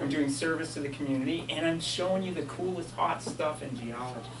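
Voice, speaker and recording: Noticeable background noise runs under a man talking at a fairly quick pace. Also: ordinary pitch variation. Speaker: geology professor. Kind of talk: lecture. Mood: enthusiastic, light humor. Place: hall. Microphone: camera far.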